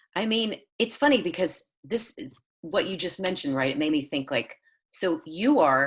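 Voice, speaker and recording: Her intonation is lively. The speaker is a woman. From Southern California. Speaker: playwright. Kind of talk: casual chat.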